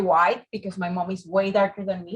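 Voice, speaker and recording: A woman speaks with a Venezuelan accent. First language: Spanish. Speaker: architect, fellowship interviewee. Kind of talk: interview.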